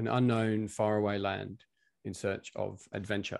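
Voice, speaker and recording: A man speaks at a fairly slow pace in a fairly low pitch, with a dry sound, no echo and a quiet background. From UK. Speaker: coach and session convener. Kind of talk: personal storytelling. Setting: video call. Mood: calm, reflective. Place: home room. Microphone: video call.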